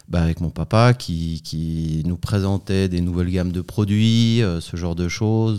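At a very slow pace, the speaker uses a dark, mellow tone. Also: man. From France, Savoie. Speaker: food company CEO. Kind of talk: interview.

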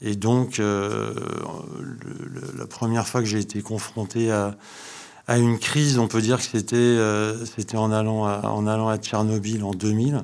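A man talks at a very slow pace, his pitch fairly low and his intonation fairly even. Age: 50s. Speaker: startup co-founder and energy engineer. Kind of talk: interview. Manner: hesitant, many repetitions.

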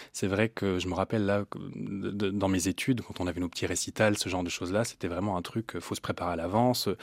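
A man talks very fast in a very deep, low pitch with fairly even intonation. The sound is dry and close, with no echo. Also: very clean recording, silent background. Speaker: classical singer and voice teacher. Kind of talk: interview.

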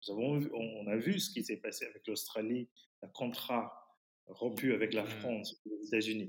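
A man talks fairly slowly at a medium pitch, his pitch varying in an ordinary way. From Fiji. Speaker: teacher and writer. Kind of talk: interview. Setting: remote call. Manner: halting.

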